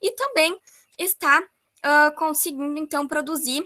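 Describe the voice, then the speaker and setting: Her voice is raised and projected, carrying well. The tone comes across bright and sharp. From Brazil, rural area. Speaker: course presenter. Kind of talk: online workshop presentation. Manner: hesitant fillers.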